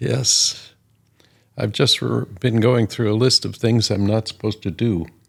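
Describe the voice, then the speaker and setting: Speaking fairly slowly at a fairly low pitch, a man shows vocal fry and ordinary pitch variation. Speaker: grandparent podcast co-host. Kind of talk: casual podcast conversation.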